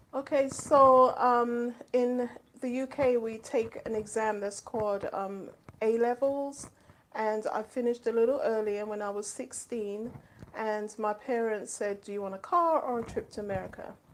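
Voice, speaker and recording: Speaking in a London accent at a moderate pace, a woman uses a fairly high pitch and fairly even intonation. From London, England. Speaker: children's author and school administrator. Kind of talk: interview. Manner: hesitant, many ums.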